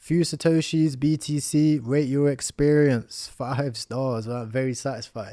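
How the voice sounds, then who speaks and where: With an English accent, a man speaks at a fairly slow pace in a dark, mellow tone, his fairly high pitch showing ordinary variation. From England. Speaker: crypto educator. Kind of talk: tutorial. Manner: casual, filler-heavy.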